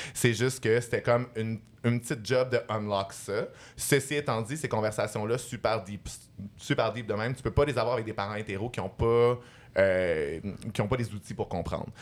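Recorded very cleanly against a silent background, a man speaks in a plain, everyday voice at a medium pitch and moderate pace with ordinary pitch variation. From Montreal, Quebec. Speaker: podcast host. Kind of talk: casual chat. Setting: stage with audience.

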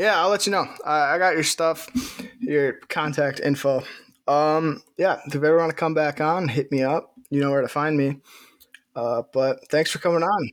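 With an American accent, a man speaks in an unremarkable speaking voice at a moderate pace and a fairly high pitch. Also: ordinary pitch variation. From Wisconsin, city. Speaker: podcast host. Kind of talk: casual interview chat; sponsor read.

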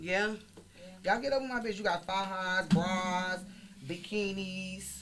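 Amid audible room echo, a woman with an American accent speaks in an animated tone at a medium pitch and fairly slow pace, with long, frequent pauses. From Chicago. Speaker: podcast host. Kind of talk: casual interview chat. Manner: animated, loud.

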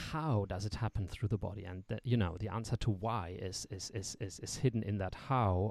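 The pace is moderate. The voice is a normal speaking voice. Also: man. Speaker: tantra teacher and podcast host. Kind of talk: casual chat.

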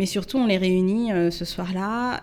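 Talking at a fairly slow pace, a woman has a medium pitch and a plain, everyday voice. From Paris suburbs, Yvelines (Mantes-la-Jolie). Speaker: entrepreneur and communications agency director. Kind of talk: podcast interview. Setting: coworking space recording.

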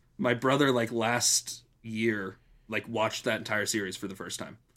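In a very clean recording with a silent background, a man speaks at a fairly slow pace in a bright, sharp, medium-pitched voice with fairly even intonation. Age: 20s. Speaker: podcast co-host. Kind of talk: casual chat.

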